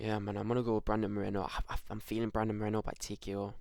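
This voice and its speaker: Quiet and very fast, a man speaks at a fairly low pitch with fairly even intonation on a very clean recording with a silent background. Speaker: MMA YouTuber giving fight predictions. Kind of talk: solo prediction video, casual monologue. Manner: speaking quietly; hesitant, many fillers and repeats.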